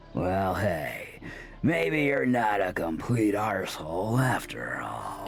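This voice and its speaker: A man speaks in a put-on character voice, fairly low-pitched and at a fairly slow pace. Background noise is clearly audible. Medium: video game. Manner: casual, cheeky.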